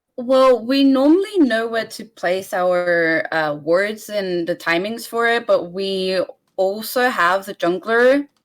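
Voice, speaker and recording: Over a silent background in a very clean recording, a woman speaks very slowly with a fairly high pitch and lively intonation. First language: Bulgarian. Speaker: esports player. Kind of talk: post-game interview.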